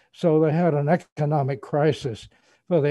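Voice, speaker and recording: Somewhat breathy male voice with a dark, mellow tone, dry sound with no echo and a quiet background. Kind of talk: interview answer. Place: office. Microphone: webcam.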